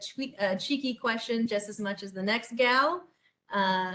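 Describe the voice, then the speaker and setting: A woman is speaking. Her pitch shows ordinary variation. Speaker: city government official. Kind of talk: webinar presentation. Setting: online webinar. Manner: fast.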